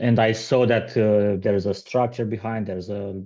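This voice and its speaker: A man speaks in a monotone, flat intonation at a fairly low pitch. His tone is dark and mellow, and the background is quiet. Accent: non-native. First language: not English. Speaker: aspiring salesperson seeking coaching. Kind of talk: coaching session. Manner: halting, many fillers and repetitions.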